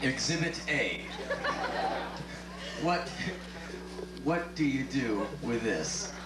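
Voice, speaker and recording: Amid loud background noise and audible room echo, a man speaks at a very slow pace with long, frequent pauses. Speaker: spoken word performer. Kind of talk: live spoken word performance. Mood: sardonic, comic. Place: stage.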